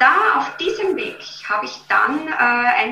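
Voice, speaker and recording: A woman speaks with audible room echo. Background noise is noticeable. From Austria, Vienna. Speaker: beauty and health coach. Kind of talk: interview.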